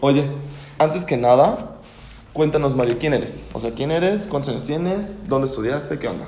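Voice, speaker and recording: A man speaks with ordinary pitch variation. Noticeable background noise and audible room echo surround him. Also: fairly high pitch for a man, moderate pace. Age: 30s. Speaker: podcast host. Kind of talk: casual chat. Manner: animated.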